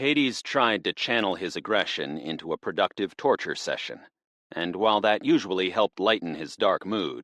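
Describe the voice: Against a quiet background, the speech is plain reading aloud.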